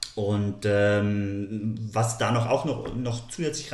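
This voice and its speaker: Noticeable background noise and audible room echo accompany a man speaking at medium pitch with fairly even intonation. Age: 40s. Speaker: nature photographer and author. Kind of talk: podcast interview.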